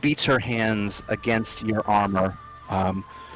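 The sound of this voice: With fairly even intonation, the voice reads in an unforced way.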